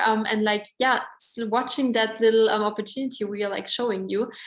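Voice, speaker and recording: Using an Austrian accent, a woman speaks with a fairly high pitch and fairly even intonation. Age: 20s. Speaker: network marketing presenter. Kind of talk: sales pitch. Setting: online event. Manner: casual, filler-heavy.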